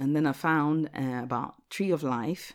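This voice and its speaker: Over a silent background in a very clean recording, a woman speaks at a moderate pace. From Ghana. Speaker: pastor. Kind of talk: casual chat.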